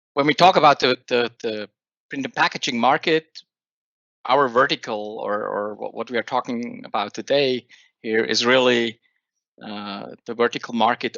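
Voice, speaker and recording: In a Swiss accent, a man speaks at a moderate pace with a medium pitch and fairly even intonation. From Switzerland. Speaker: software company owner and industry expert. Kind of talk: webinar presentation. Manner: halting, many fillers.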